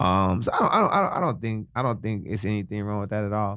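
The speaker is a man with a fairly low pitch. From Chicago. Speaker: radio personality. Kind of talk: casual chat. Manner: animated.

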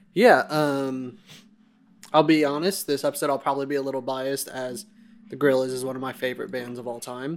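This man has a normal speaking voice with a fairly high pitch and fairly even intonation. He moves at a fairly quick pace, with big swings in loudness. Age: 20s. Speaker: podcast host. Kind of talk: casual chat.

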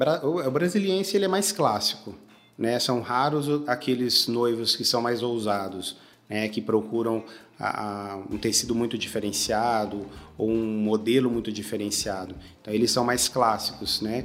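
Medium pitch for a man, lively intonation, and a normal speaking voice. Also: fairly slow pace. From Brazil, Goiás (Goiânia). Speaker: menswear store manager. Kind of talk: interview.

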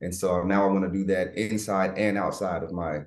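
Someone with an American accent speaks at a fairly quick pace with vocal fry and ordinary pitch variation. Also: man. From US South, Florida and Georgia. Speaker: military veteran and leadership coach. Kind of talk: interview conversation.

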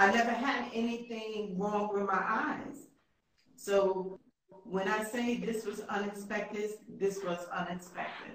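A woman with an American accent and a plain, everyday voice speaks in a medium pitch at a fairly slow pace with fairly even intonation. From New York. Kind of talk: interview.

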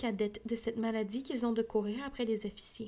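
A woman speaks with a Quebec accent at a fairly quick pace. Her pitch is fairly high, and the recording is very clean with a silent background. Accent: Québécois French. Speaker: audiobook podcaster. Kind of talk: reading aloud. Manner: casual asides between reading.

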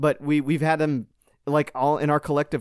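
The recording is very clean, with a silent background. A man with a fairly high voice speaks at a fairly quick pace. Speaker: podcast host. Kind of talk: casual chat.

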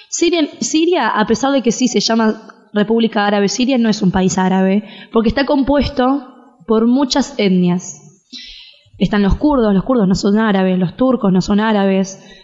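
A woman talks at a moderate pace in a fairly high pitch, with lively intonation and very even loudness. Noticeable background noise can be heard. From Argentina. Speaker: interviewee on Syria. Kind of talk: interview.

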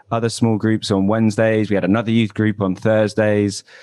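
Speaking with a southern English accent, a man keeps a fairly low pitch, a moderate pace and a monotone, flat intonation. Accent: southern English (London area). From Southeast London, England. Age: 20s. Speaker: former church member, podcaster. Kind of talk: interview, personal story. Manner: hesitant, many fillers.

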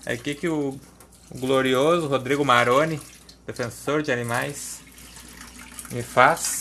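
A man speaks at a medium pitch with a slight gaúcho accent. His tone is bright and sharp. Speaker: podcaster. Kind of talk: casual monologue. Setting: at the kitchen sink washing dishes.

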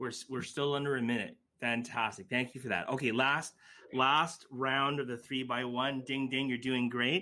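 Here a man speaks at a moderate pace. His medium pitch follows fairly even intonation. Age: 40s. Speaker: podcast host and lawyer. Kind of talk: interview conversation. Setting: video call. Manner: hesitant, repeats words.

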